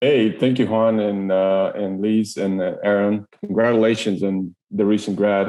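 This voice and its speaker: A man speaks in a Spanish accent at a fairly slow pace. His fairly low, dark, mellow voice has a monotone, flat intonation. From Ecuador. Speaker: engineering manager. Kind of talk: podcast interview. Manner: halting, many fillers and repetitions.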